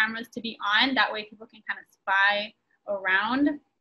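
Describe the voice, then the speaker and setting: A woman's bright, sharp tone with fairly even intonation. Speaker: student organization officer hosting. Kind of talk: explaining game instructions. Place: home room. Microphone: video call.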